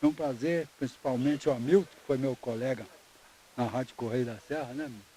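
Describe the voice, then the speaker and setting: Ordinary pitch variation and a fairly quick pace in a man's dark, mellow tone. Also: medium pitch for a man, big swings in loudness. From Rio de Janeiro, Brazil. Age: 80s+. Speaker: retired football goalkeeper. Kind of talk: interview. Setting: outdoors at a club.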